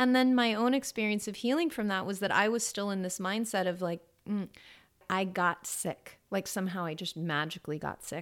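A woman with a Californian accent speaks at a medium pitch and a moderate pace, with ordinary pitch variation. The recording is very clean, with a silent background. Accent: Californian American. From Los Angeles, US. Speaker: yoga teacher. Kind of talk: interview. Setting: office studio.

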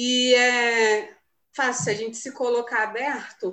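This woman's voice has a bright, sharp tone. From Brazil, Rio de Janeiro. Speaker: young missionary volunteer. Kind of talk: casual chat, sharing experiences.

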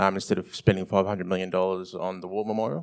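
A man with an Australian accent keeps a fairly even intonation in a very clean recording with a silent background. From Victoria, Australia. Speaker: writer. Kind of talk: live festival panel discussion. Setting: stage with live audience. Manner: halting, many fillers.

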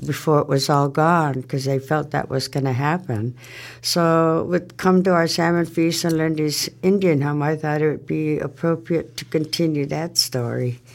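Speaking with an American accent, a woman uses a very deep, low pitch and fairly even intonation. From Warm Springs, Oregon. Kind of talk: elder life story told in warm, personal recollection. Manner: unhurried, conversational, reflective.

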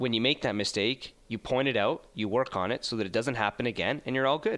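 A man with a Canadian accent talks at a fairly quick pace. His tone is bright and sharp. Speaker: sports broadcaster. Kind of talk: casual interview.

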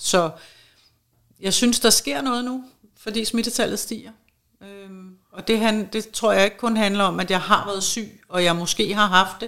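A woman speaks at medium pitch with ordinary pitch variation, a bright, sharp tone, and big swings in loudness. Her pace is fairly slow with long, frequent pauses, in a very clean recording with a silent background. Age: 50s. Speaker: schoolteacher and long covid patient. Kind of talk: interview.

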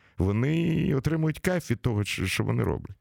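A man of medium pitch speaks at a moderate pace with vocal fry and very wide pitch swings. The recording is very clean and dry, close with no echo, and the background is silent. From Ukraine, Kyiv. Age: 60s. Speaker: radio host. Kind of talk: casual interview. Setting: studio.

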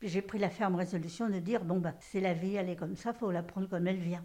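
Dark and mellow, this somewhat breathy voice moves at a fairly quick pace. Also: woman. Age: 80s+. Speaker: nursing home resident. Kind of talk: interview testimony.

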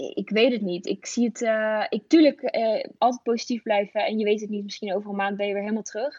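At a very fast pace with hardly any pauses, a woman talks at a fairly high pitch with ordinary pitch variation. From Netherlands, Veluwe in Gelderland. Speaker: elite athlete and influencer. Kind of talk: interview. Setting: phone call.

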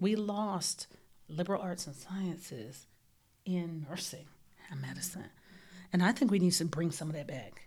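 The somewhat breathy voice moves at a moderate pace with ordinary pitch variation, long, frequent pauses and big swings in loudness. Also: woman, fairly low pitch for a woman. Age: 40s. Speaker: nursing professor. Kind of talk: interview conversation. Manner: animated.

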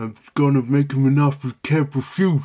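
A man's put-on character voice with fairly even intonation

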